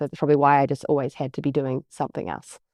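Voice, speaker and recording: Her pitch very deep and low, a woman speaks with a slight New Zealand accent. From New Zealand, near Wellington. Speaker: business coach and agency CEO. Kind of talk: podcast interview.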